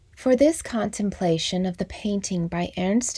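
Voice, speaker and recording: On a very clean recording with a silent background, a woman speaks at a fairly slow pace in a somewhat breathy, gentle, calm voice of medium pitch, dark and mellow in tone, with ordinary pitch variation. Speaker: MBSR teacher. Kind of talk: guided meditation. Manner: slow, calm, soothing with long pauses; soft-spoken, gentle.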